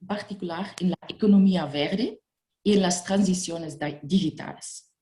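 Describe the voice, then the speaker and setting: This woman speaks at a fairly slow pace with a non-native accent, her dark, mellow tone somewhat breathy and her pitch varying in an ordinary way. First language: not Spanish (speaking Spanish). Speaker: EU funding consultant. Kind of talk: webinar presentation. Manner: halting, non-native phrasing.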